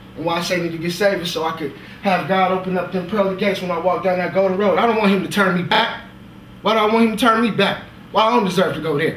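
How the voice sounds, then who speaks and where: Speaking at a very fast pace, a man uses a high pitch and fairly even intonation. Audible room echo and light background noise are present. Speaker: actor performing a monologue. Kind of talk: dramatic monologue. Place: stage.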